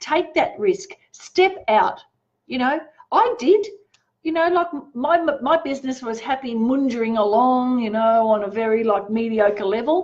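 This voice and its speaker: A woman speaks at a fairly slow pace in a high voice, with an animated tone and lively intonation. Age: 60s. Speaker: tarot reader. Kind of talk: live-stream tarot reading and motivational talk. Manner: casual.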